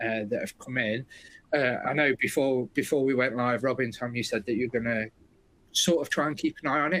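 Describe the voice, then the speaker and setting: A man with a British accent speaks at a medium pitch with ordinary pitch variation. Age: 40s. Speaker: webinar host, software company. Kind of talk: webinar presentation.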